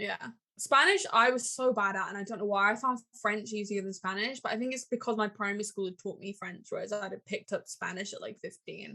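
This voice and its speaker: A woman with a strong English accent talks at a very fast pace, her pitch fairly high. Her intonation stays fairly even while her loudness swings widely. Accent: thick English. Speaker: podcast co-host. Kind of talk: casual chat.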